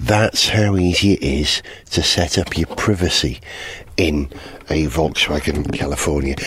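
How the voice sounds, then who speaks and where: A man with a North Welsh accent speaks at a fairly slow pace in a very deep, low voice, with ordinary pitch variation, very even loudness and noticeable background noise. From North Wales. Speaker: motoring podcast host. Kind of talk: solo road-trip vlog monologue. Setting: in a camper van on the road. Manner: animated.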